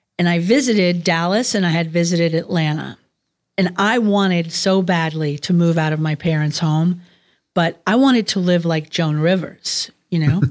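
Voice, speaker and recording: A woman with an American accent speaks in a plain, everyday voice at a fairly low pitch with ordinary variation. Her pace is moderate and her loudness very even, in a very clean recording with a silent background. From New York City, Queens. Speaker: boutique founder. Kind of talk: interview.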